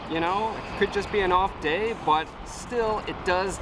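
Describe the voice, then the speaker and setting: A man is heard in a dry sound with no echo, with music playing in the background. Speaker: food vlogger. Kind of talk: casual vlog review. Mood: mildly frustrated but positive. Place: street. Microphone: phone near.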